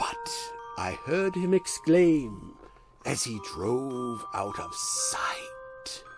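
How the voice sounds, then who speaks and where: A put-on character voice, low and raspy, at a very slow pace over clear music in the background. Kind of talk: poetry reading.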